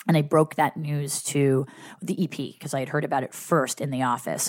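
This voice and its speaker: On a very clean recording with a silent background, a woman speaks at a moderate pace. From New Jersey. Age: 30s. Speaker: TV assistant and podcast host. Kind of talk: casual chat.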